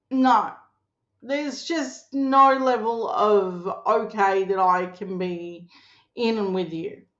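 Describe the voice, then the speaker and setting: A woman with an Australian accent speaks very slowly at a fairly high pitch, with lively intonation. Audible room echo surrounds her voice. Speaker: political commentator. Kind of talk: casual political commentary. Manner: loud; animated.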